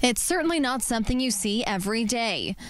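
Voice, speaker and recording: A woman with a fairly high pitch speaks at a fairly quick pace, with light background noise and a dry sound that has no echo. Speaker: news anchor and reporter. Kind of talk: TV news report. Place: street. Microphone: handheld.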